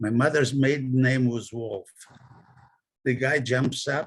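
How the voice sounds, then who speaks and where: A man speaks in a medium pitch, somewhat breathy, keeping a fairly slow pace. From Poland, Krakow. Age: 90s. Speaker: Holocaust survivor. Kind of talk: testimony. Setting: video call.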